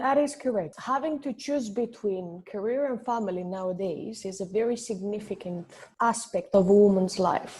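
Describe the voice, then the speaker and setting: A woman speaks with a non-native accent at a moderate pace. Her tone is dark and mellow and somewhat breathy. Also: fairly high pitch for a woman, ordinary pitch variation. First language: not English. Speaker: finance entrepreneur. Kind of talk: podcast interview.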